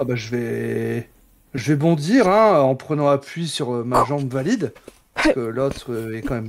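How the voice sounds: Speaking at a fairly slow pace, a man uses lively intonation at a medium pitch, with vocal fry.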